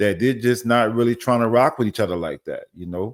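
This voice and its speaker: A man with an American accent talks at a fairly quick pace. His pitch varies in an ordinary way, and the recording is very clean with a silent background. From New Orleans, Louisiana. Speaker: podcast host. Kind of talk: casual commentary monologue.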